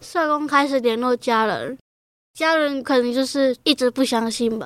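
A woman talks at a high pitch with ordinary pitch variation and a fairly slow pace. The sound is dry and close with no echo, on a very clean recording with a silent background. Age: 20s. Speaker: young person from a care home, special-education student. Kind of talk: interview testimony.

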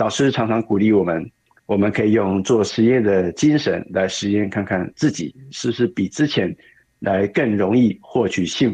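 At a moderate pace, a man talks in a fairly low, dark, mellow voice with ordinary pitch variation. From Kaohsiung, Taiwan. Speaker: program student sharing experience. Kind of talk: testimony.

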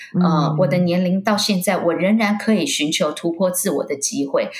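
Noticeable noise runs through the background. The speaking pace is moderate. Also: woman. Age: 40s. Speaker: wakesurf athlete and businesswoman. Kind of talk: interview.

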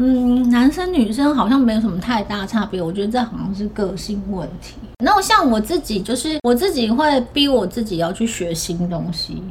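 A woman with a fairly high pitch speaks at a moderate pace with lively intonation and hardly any pauses. Noticeable background noise can be heard. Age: 40s. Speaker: podcast host. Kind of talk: casual chat.

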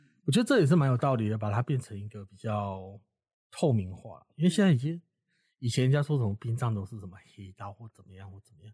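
On a very clean recording with a silent background, a man with a dark, mellow, somewhat breathy tone talks at a very fast pace, his intonation lively and his loudness swinging widely. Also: medium pitch for a man, dry, close sound with no echo. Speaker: funeral worker and author. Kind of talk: interview conversation.

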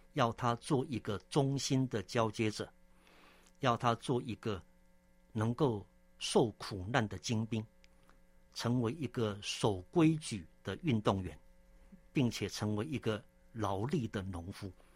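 Somewhat breathy and medium-pitched, a man talks at a very slow pace with long, frequent pauses and ordinary pitch variation, on a very clean recording with a silent background. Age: 60s. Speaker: theological seminary president and church elder. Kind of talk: interview testimony; sermon-like scripture exposition. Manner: frequent filler 'ah' particles.

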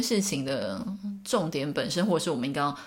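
Delivered at a fairly quick pace with very wide pitch swings, the voice comes through noticeable background noise and audible room echo. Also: woman. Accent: Taiwanese. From Taiwan, small town. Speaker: podcast host, English teacher. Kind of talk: solo podcast monologue. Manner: casual, frequent laughs and fillers.

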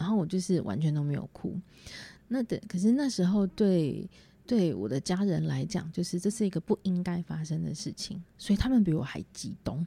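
Somewhat breathy and dark, mellow in tone, a woman with a Taiwanese accent speaks at a moderate pace and a fairly low pitch. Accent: Taiwanese Mandarin. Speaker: podcaster. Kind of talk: solo casual monologue. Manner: halting with many fillers.

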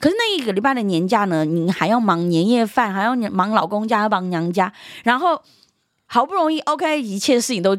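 Against a silent background in a very clean recording, a woman talks at a fairly quick pace with lively intonation. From Myanmar (Chinese diaspora family), moved to Taiwan at age 10. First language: Yunnanese dialect (speaking Chinese). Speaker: guest, cultural content creator. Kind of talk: casual chat. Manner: laughs loudly and often; animated.

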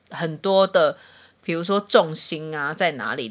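Here is a woman with an ordinary speaking voice, lively intonation and a moderate pace. The recording is very clean, with a silent background. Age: 30s. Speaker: podcast co-host. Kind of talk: casual chat.

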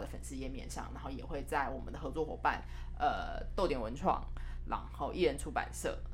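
A woman speaks in a serious tone, with music in the background and audible room echo. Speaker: co-producer, exhibition organiser and publisher. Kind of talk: casual chat. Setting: small office.

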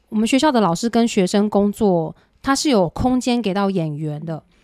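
With an ordinary speaking voice, a woman of medium pitch speaks at a moderate pace and with lively intonation in a very clean recording over a silent background. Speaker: music director. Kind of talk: interview.

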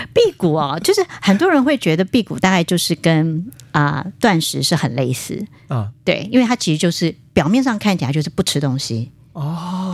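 Very wide pitch swings from a woman with a fairly low pitch, at a moderate pace. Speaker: spiritual writer and qigong teacher. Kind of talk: casual interview. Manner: frequent fillers and hesitations.

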